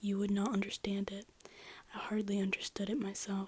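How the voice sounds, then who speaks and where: A soft-spoken woman talks. Her pitch sits in the medium range. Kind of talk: ASMR soft-spoken reading of a classic novel.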